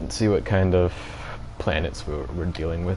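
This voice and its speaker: Music plays in the background as a man talks in a very deep, low voice. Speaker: video game streamer. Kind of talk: live gameplay commentary.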